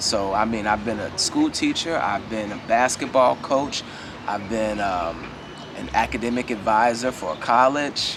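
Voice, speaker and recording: Noticeable background noise sits behind a man speaking in a relaxed tone at a medium pitch and a fairly slow pace. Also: ordinary pitch variation. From Chicago. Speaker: retired school teacher. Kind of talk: interview answer. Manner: relaxed, casual.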